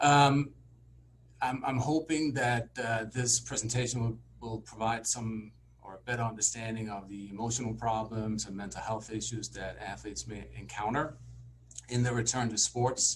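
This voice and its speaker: A man speaks at a medium pitch and a moderate pace with fairly even intonation. His voice is somewhat breathy, with big swings in loudness. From Denmark. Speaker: sports psychologist. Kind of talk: lecture.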